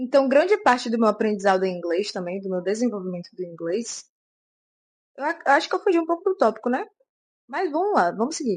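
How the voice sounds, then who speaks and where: A woman with a Brazilian accent talks at a fairly quick pace, her pitch swinging very widely, with long, frequent pauses. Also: fairly high pitch for a woman. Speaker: vlogger. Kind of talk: casual vlog talk to camera.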